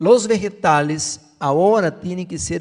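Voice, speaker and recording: A man with a fairly high pitch uses lively intonation in a dark, mellow tone. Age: 60s. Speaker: health preacher. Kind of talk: sermon.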